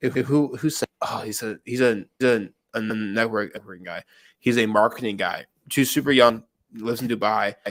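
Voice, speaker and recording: Fairly quick male speech in an ordinary speaking voice, at medium pitch with ordinary pitch variation. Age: 20s. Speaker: tech entrepreneur. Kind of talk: casual chat. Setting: live video stream.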